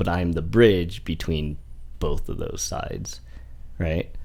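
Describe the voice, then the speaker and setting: Very slow, lively-toned speech from a man with a very deep, low pitch and vocal fry, heard with audible room echo. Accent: American. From US Midwest, Indiana (Fort Wayne area). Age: 40s. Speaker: podcast guest. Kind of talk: casual chat.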